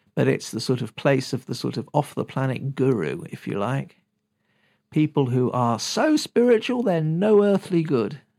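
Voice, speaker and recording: A British accent at a moderate pace on a very clean recording with a silent background. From Britain. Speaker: podcast host and shamanic teacher. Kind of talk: solo teaching talk.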